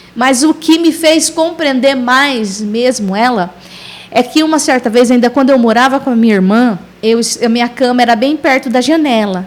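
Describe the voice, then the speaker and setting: Noticeable background noise sits behind a woman speaking at a high pitch. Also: ordinary pitch variation, moderate pace, very even loudness. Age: 40s. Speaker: missionary. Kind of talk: testimony.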